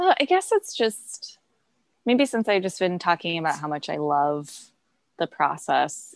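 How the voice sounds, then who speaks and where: A woman with a Midwestern accent speaks at a fairly slow pace, the sound dry and close with no echo. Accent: general American Midwestern. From US Midwest. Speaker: textile designer and business owner. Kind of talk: interview. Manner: hesitant with frequent fillers.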